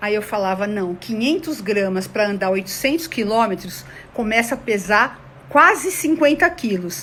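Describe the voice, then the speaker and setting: Her animated voice sits at a fairly high pitch with very wide pitch swings. The woman speaks at a fairly slow pace. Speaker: conflict mediation consultant. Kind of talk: online talk to an audience. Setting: online video session.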